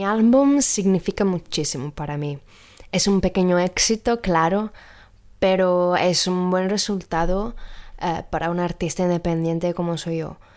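A woman with an Italian accent at medium pitch, fairly slow pace and ordinary pitch variation, on a very clean recording with a silent background. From Sardinia, Italy. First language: Italian (speaking Spanish). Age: 20s. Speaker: singer and actress. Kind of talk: recorded voice message.

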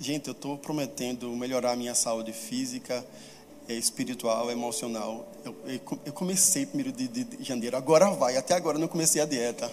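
With lively intonation and a fairly high pitch, a man speaks at a moderate pace amid noticeable background noise and audible room echo. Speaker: preacher. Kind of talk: sermon.

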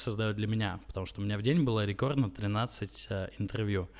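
This man's voice sits fairly low, with intonation that stays fairly even. There is no background sound at all in this very clean recording. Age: 20s. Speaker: entrepreneur. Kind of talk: interview. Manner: halting, many filler sounds.

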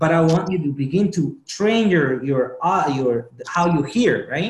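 A high-pitched man with a non-native accent and very wide pitch swings. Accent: foreign-accented English. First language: not English. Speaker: motivational speaker. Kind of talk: interview. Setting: video call.

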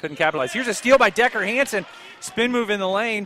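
A man's raised, projected voice in an excited tone with an American accent, over noticeable background noise. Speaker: play-by-play radio announcer. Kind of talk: live high school basketball play-by-play commentary. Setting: courtside at a gym broadcast. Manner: rapid, running call of each possession with scores; brisk, excited reactions to near-miss shots.

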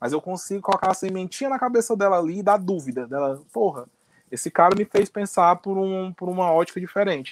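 Recorded with a dry, close sound and no echo, a man speaks at a high pitch with lively intonation. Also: fairly quick pace. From Northeast Brazil. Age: 30s. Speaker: political commentator. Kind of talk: podcast interview.

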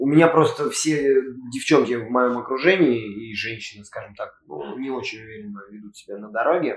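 This man has an ordinary speaking voice at a medium pitch, with lively intonation, a moderate pace and big swings in loudness. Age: 20s. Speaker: PE teacher and MMA coach. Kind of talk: casual chat.

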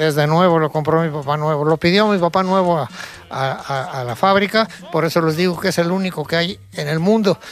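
A man's high voice at a fairly quick pace, with ordinary pitch variation. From Mexico City. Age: 80s+. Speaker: retired civil engineer and car builder. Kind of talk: interview.

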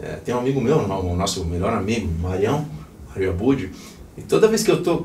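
A man speaks at a moderate pace with very wide pitch swings. Noticeable background noise and audible room echo fill the recording. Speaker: rock musician. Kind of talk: casual interview. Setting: band rehearsal room.

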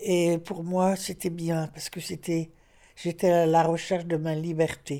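A woman speaks in a dark, mellow tone with a fairly low pitch. Her pace is fairly slow. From northern France, Lille. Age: 80s+. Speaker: visual artist. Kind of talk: interview testimony. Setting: retirement residence. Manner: halting.

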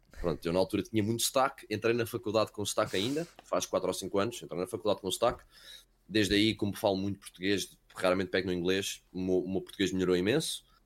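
A man with a fairly low voice talks at a very fast pace with ordinary pitch variation, recorded very cleanly against a silent background. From Wales, later Portugal. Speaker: esports caster. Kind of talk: casual chat.

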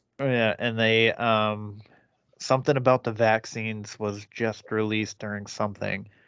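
Against a quiet background, a man with a fairly low pitch speaks at a moderate pace in monotone, flat intonation. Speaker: podcast host. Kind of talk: casual chat. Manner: profane, casual.

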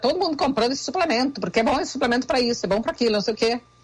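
A woman with a Rio Grande do Sul accent talks in a fairly high pitch with lively intonation. Noticeable background noise runs under her voice. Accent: Rio Grande do Sul border. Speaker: nutritionist. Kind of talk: radio interview.

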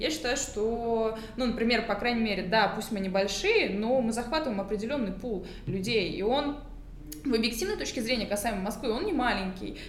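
The speaker talks at a fairly quick pace with ordinary pitch variation. Audible room echo and noticeable background noise are present. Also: woman, fairly high pitch for a woman. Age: 20s. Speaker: fitness entrepreneur and coach. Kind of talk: casual interview.

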